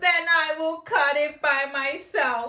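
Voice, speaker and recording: Putting on a character voice, a woman speaks high-pitched at a fairly slow pace. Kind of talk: bedtime story. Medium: read story. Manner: earnest, steady.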